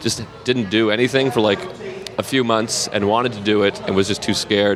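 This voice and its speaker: A man with an American accent talks at a fairly quick pace. His intonation is fairly even, and there is noticeable background noise. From Massachusetts, south of Boston. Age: 30s. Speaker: comedian. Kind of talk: casual chat.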